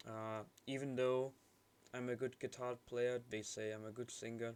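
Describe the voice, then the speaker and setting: This man talks at a fairly slow pace. His intonation is monotone and flat. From Brazil, Manaus. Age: 20s. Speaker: video diary vlogger. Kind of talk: casual personal monologue. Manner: halting. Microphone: quiet audio.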